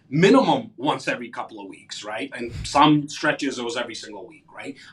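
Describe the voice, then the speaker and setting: An energetic tone at a fairly quick pace shows big swings in loudness over noticeable background noise. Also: man. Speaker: real estate agent and podcast host. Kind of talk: interview.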